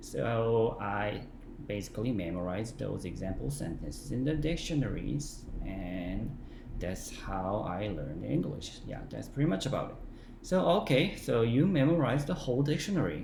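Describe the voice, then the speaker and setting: Very wide pitch swings mark this moderate-paced delivery with a Korean accent, and audible room echo surrounds it. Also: man, medium pitch for a man. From South Korea. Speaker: English learning vlogger. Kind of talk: casual talk to camera. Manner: halting, many fillers.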